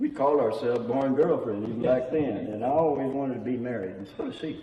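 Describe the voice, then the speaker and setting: The speech is very fast with ordinary pitch variation. Noticeable background noise and audible room echo are present. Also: man, medium pitch for a man. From Indiana, US Midwest. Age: 90s. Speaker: church elder. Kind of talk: oral history interview. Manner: halting.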